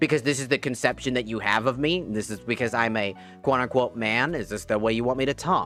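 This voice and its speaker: Music plays in the background as a strained, put-on character voice rattles along at a very fast pace. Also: man, medium pitch for a man. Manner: exaggerated masculine.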